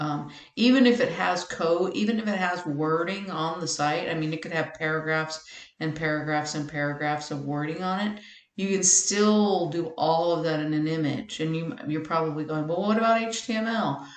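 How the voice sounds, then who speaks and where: A woman speaks at a fairly low pitch and a moderate pace, with ordinary pitch variation. Audible room echo surrounds her voice. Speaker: web tutorial maker. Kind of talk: tutorial.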